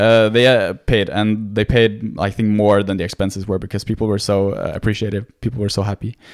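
Over a very clean recording with a silent background, a man speaks in a fairly low, flat monotone at a fairly quick pace with hardly any pauses. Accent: Norwegian. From Norway. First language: Norwegian. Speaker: medical student. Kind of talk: casual interview. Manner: halting.

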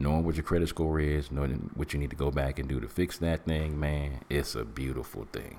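The voice carries vocal fry. The pace is fairly quick. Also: man. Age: 50s. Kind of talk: motivational talk. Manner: animated.

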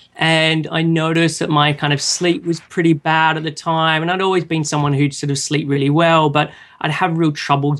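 With an Australian accent, a man talks at a fairly high pitch in a monotone, flat intonation, with hardly any pauses. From Australia, Sydney. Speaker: online nutrition counselor. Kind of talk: casual interview.

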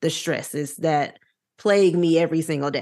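A woman with an American accent, fairly low in pitch with ordinary pitch variation, over a quiet background. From US South. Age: 20s. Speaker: podcast host. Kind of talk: casual chat. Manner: animated.

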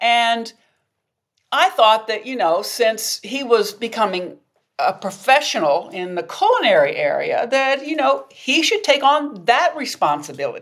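A woman's high voice, fairly slow, with very wide pitch swings. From US South. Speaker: negotiation professor. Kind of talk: interview.

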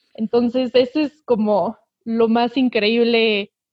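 Her plain, everyday voice sits at a fairly high pitch for a woman, with fairly even intonation. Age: 20s. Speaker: environmental activist, chemical engineering student. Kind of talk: casual interview.

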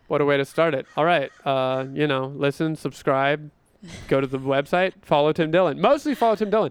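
A man with an American accent and a plain, everyday voice, fairly high in pitch, with ordinary pitch variation. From North Carolina, small town. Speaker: podcast co-host. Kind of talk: casual chat.

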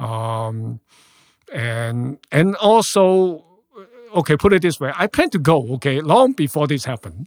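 This man's voice sits fairly high and moves through very wide pitch swings at a fairly slow pace. The sound is dry and close, with no echo. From Hong Kong. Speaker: social work professor. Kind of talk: interview.

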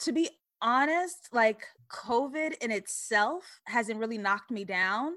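A woman's raised, projected voice in an American accent, bright and sharp with lively intonation, on a very clean recording with a silent background. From Queens, New York. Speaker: screenwriter and YouTuber. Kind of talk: casual chat.

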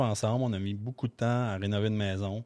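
Very cleanly recorded against a silent background, a man speaks at a fairly quick pace in a fairly low voice with ordinary pitch variation. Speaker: real estate investor. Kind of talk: interview. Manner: halting, many fillers.

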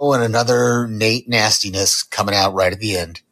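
An ordinary speaking voice from a man at medium pitch, moving at a fairly quick pace. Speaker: listener leaving voicemail. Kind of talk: recorded voicemail reacting while watching.

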